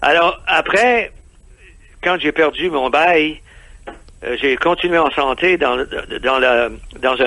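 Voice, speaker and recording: A somewhat high male voice with normal rises and falls in pitch. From Quebec. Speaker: expatriate entrepreneur. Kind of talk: radio interview. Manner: halting, many hesitations.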